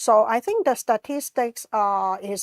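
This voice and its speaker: In a very clean recording with a silent background, a woman with a Cantonese accent talks at a fairly high pitch, the sound dry and close with no echo. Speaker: conference organizer. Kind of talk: presentation with slides. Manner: halting, many fillers.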